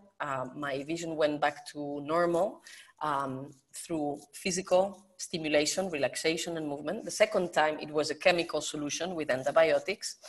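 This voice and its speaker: At a moderate pace, a woman with a Spanish accent talks at a fairly low pitch with ordinary pitch variation. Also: big swings in loudness. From Spain. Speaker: professor and natural vision educator. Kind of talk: interview. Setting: video call.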